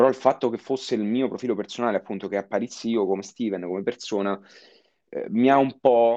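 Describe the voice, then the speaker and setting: Over a quiet background, a man with a medium pitch and a dark, mellow tone speaks at a fairly quick pace with fairly even intonation. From Italy, Rome area (Castelli Romani). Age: 20s. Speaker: marketing consultant and lecturer. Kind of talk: interview.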